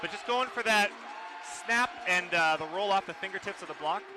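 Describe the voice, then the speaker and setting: A man's raised, projected voice, high in pitch, with ordinary pitch variation and noticeable background noise. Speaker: color commentator. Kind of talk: live commentary. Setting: gym with loud crowd. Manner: loud, shouting.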